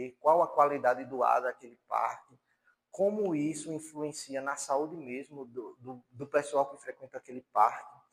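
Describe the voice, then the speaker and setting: This man talks at a moderate pace with a fairly high pitch in a plain, everyday voice. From Paraíba, Brazil (João Pessoa). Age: 30s. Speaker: university lecturer. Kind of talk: lecture.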